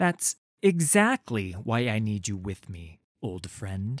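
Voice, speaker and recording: Using a put-on character voice, a man speaks fairly low and fairly slowly with lively intonation in a dry, close sound with no echo. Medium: read story. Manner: commanding, forceful.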